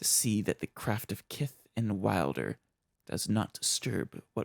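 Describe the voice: The delivery is plain reading aloud, its intonation fairly even. Nothing much sounds in the background.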